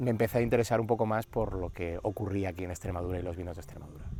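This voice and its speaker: In a Madrid accent, a man talks at a fairly low pitch with ordinary pitch variation. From Madrid, Spain. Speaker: winery founder and oncologist. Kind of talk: casual interview. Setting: outdoors in a vineyard.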